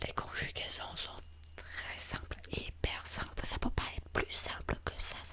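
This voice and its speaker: Whispering very slowly, a man speaks against noticeable background noise. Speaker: ASMR creator playing an English teacher. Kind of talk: ASMR language-class roleplay.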